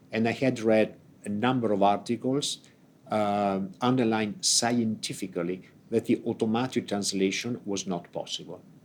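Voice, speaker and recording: An Italian accent with fairly even intonation at a moderate pace. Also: man, medium pitch for a man. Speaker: ambassador. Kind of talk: unscripted opening speech. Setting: conference event, hybrid. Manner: halting, many fillers.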